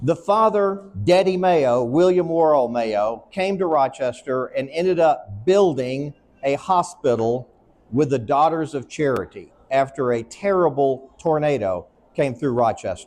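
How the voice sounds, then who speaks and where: Here is a man with an ordinary speaking voice and a fairly high pitch. He talks at a fairly slow pace with lively intonation. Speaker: psychiatrist. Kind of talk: conference talk. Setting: stage at an expo.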